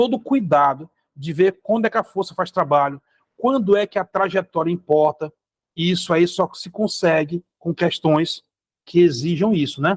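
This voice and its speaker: This man's pitch is high and his pace moderate, with big swings in loudness. The sound is dry and close, with no echo. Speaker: physics teacher. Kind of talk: lecture.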